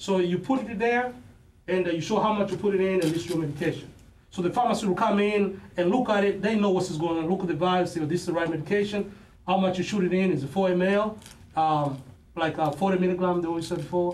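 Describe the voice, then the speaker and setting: Loud and very fast, a man talks at a high pitch with ordinary pitch variation, and audible room echo. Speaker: student presenter, pharmacy technician. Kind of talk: classroom demonstration presentation. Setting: classroom.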